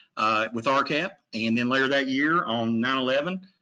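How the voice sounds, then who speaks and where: This is a man with a medium pitch. His tone is bright and sharp. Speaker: water technical assistance provider. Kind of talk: webinar presentation. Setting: online webinar. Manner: fast.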